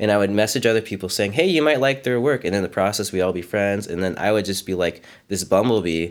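Talking at a very fast pace with hardly any pauses, a man with an American accent uses a fairly low pitch and ordinary pitch variation on a very clean recording with a silent background. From US, Frederick, Maryland. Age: 30s. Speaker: art teacher and sculptor. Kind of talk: casual interview.

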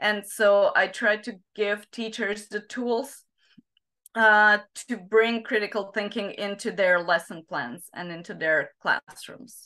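A woman with a Slovak accent, medium pitch, ordinary pitch variation and a bright, sharp tone, at a very slow pace. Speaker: psychologist and teacher trainer. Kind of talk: interview. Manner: halting, many fillers.

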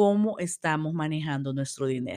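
The recording is very clean with a silent background and a dry, close sound without echo, as a woman speaks at a fairly slow pace with ordinary pitch variation. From El Salvador. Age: 40s. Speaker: podcast host. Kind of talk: solo podcast monologue. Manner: hesitant, many fillers.

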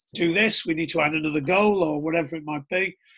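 Bright and sharp in tone, a man with a Teesside accent speaks in a high pitch with fairly even intonation. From northern England, Middlesbrough. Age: 40s. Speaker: rugby coach and coach developer. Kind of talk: casual chat.

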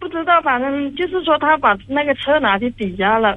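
A woman's lively intonation at a moderate pace. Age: 30s. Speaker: caller seeking relationship advice. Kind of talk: call-in advice conversation. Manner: halting.

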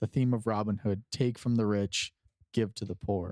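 There is an unremarkable speaking voice here, a man at medium pitch with fairly even intonation and a dry, close sound with no echo. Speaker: podcast co-host. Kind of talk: casual chat.

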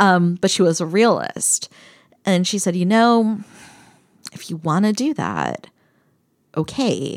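A woman with an American accent speaks at a very slow pace in a medium pitch, leaving long, frequent pauses. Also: ordinary pitch variation. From eastern Pennsylvania (Bethlehem). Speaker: political science professor. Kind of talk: casual interview conversation.

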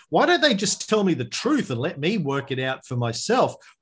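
Against a quiet background, a somewhat breathy man with an Australian accent speaks in very wide pitch swings. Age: 50s. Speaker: history podcaster. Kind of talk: interview conversation.

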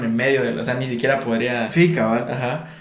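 A man talks at a medium pitch and a fairly quick pace. Noticeable background noise runs underneath. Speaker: podcast co-host. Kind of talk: casual chat.

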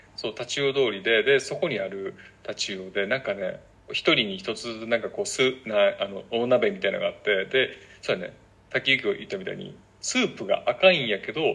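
Speech in a Kansai accent moves at a fairly quick pace with big swings in loudness. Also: man. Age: 30s. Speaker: podcast co-host. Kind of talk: casual chat.

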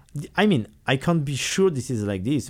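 With a French accent, a man speaks at a moderate pace. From France. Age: 40s. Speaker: classical guitarist and teacher. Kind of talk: interview. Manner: halting.

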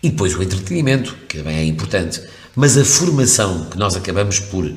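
A man's very deep, low voice with lively intonation, plus audible room echo and noticeable background noise. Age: 50s. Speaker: radio presenter. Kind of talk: interview conversation. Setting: radio studio. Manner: hesitant with fillers.

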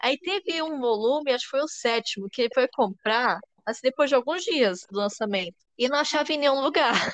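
With lively intonation and a high pitch, a woman speaks at a fairly quick pace in a dry, close sound with no echo. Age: 20s. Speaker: podcast host. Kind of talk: casual chat.

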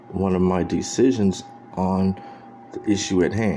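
A man with an American accent and a very deep, low pitch speaks fairly slowly with ordinary pitch variation over noticeable background noise. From Texas, San Antonio. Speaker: video blogger. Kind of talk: political commentary monologue.

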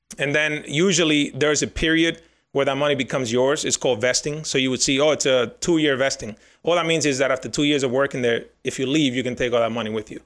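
A man with a Spanish accent talks at a very fast pace and a fairly high pitch, with fairly even intonation. The recording is very clean, with a silent background. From Dominican Republic, raised from 11 in New York. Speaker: financial planner. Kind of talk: casual interview.

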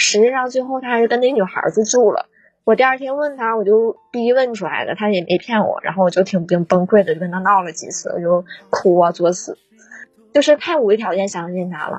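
With lively intonation, a woman talks at a fairly quick pace in a fairly high pitch. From Northeast China. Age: 20s. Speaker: caller, primary school teacher. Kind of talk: emotional advice call-in.

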